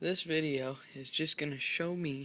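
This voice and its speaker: A soft-spoken man with a fairly high pitch, a bright, sharp tone, fairly even intonation and a very slow pace. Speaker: pet owner vlogger. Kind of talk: casual video demonstration. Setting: at home late at night.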